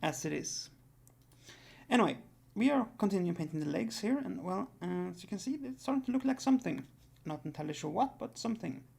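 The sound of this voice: This raspy, gravelly voice has a slightly mellow tone, a slightly husky edge, vocal fry, lively intonation and a fairly quick pace.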